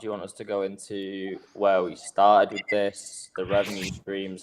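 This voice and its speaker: This man has a fairly low pitch and talks with an English accent. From Manchester, northern England. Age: 20s. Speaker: crypto project co-founder. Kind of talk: livestream interview.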